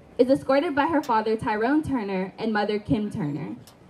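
Over light background noise, a woman speaks at a moderate pace. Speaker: stadium announcer. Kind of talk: ceremony announcement. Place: stadium.

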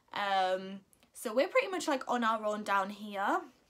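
The speaker is a woman with a fairly high pitch. Her tone is bright and sharp. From Northern England. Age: 20s. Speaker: mum vlogger. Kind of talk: casual talk to camera. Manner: chatty, hesitant. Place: home room. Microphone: phone near.

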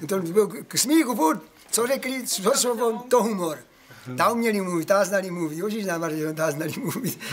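Lively in intonation and high-pitched, a man speaks with a Moravian Slovak accent over light background noise. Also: moderate pace. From Moravian Slovakia, Czech Republic. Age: 70s. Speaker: elderly villager. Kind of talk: interview answer. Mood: humorous, animated. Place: garden. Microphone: phone near.

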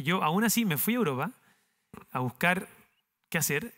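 Against a quiet background, a man with a bright, sharp tone talks at a moderate pace with ordinary pitch variation. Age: 30s. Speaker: entrepreneur, company founder; speaker. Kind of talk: talk to university students; interview answer, storytelling talk. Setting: university auditorium with audience. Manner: halting, many repetitions and fillers. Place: stage. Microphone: headset.

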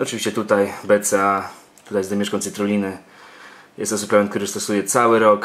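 The man's voice sits fairly low in pitch. His intonation is monotone and flat. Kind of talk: casual vlog chat. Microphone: phone near.

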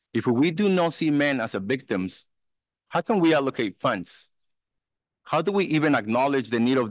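Moderate pace and very even loudness, dry with no echo, over a quiet background. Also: man. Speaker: anti-trafficking consultant and survivor; conference speaker. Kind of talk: keynote testimony. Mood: earnest, personal. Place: hall. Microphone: podium.

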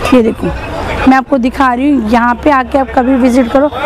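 Over clear background noise, a woman with a high-pitched voice talks at a fairly quick pace.

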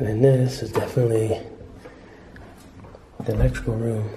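A man's dark, mellow voice with little pitch movement, in a room with audible echo. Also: medium pitch for a man, moderate pace.

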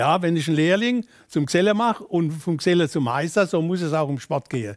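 Against a quiet background, a man with a Kurpfalz accent talks fairly quickly in a high pitch with lively intonation. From Kurpfalz, Germany. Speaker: former football coach. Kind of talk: interview answer. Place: studio.

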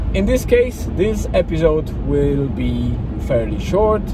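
Through noticeable background noise, a man talks at a very slow pace in a dry sound with no echo. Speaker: daily vlogger. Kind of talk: casual vlog chat. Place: car. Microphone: phone near.

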